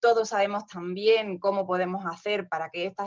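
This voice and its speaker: A woman of medium pitch with a southern Spanish accent. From southern Spain. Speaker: nurse specialist speaker at conference. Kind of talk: conference presentation.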